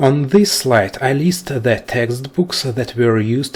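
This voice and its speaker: A man with a non-native accent at a fairly slow pace, amid noticeable background noise. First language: not English. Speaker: statistics lecturer. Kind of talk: lecture. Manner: formal.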